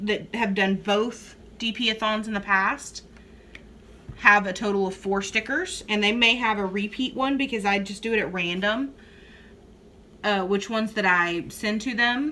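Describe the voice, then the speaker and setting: A bright, sharp voice with a South Texas accent speaks at a fairly slow pace, with fairly even intonation and long, frequent pauses. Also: woman. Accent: Southern Texas. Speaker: crafting YouTuber. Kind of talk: casual chat.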